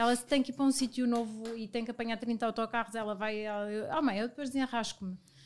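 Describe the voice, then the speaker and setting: A woman has a plain, everyday voice at a fairly high pitch. Her intonation is fairly even. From Portugal, Viseu. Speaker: business partner. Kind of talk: casual chat.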